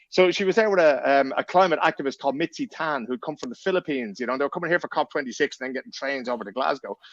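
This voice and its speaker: In a Dublin accent, a man with a fairly high pitch talks at a very fast pace with lively intonation and hardly any pauses, recorded dry and close with no echo. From Ireland, Dublin. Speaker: journalist and podcaster. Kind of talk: casual podcast chat.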